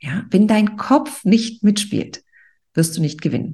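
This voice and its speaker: A woman's medium-pitched voice, dark and mellow in tone, with vocal fry. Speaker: podcast host and author. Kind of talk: pep talk. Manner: motivating, energetic; direct, addressing listener as du.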